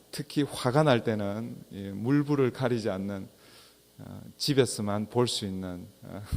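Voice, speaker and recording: A man speaks very slowly at a fairly low pitch with ordinary pitch variation. His loudness swings widely. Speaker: pastor. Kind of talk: sermon.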